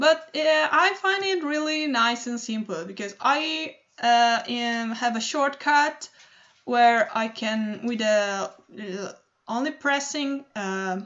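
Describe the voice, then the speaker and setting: Someone speaks with an Italian accent at a very slow pace. The intonation is lively. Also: woman, high pitch for a woman. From Italy. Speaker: digital artist. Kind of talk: tutorial. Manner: halting, many fillers.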